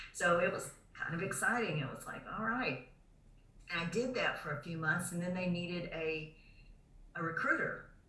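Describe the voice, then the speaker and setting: Noticeable background noise accompanies a woman with a fairly low voice. She speaks at a moderate pace with long, frequent pauses. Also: ordinary pitch variation. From Alabama. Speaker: military veteran. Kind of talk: interview answer.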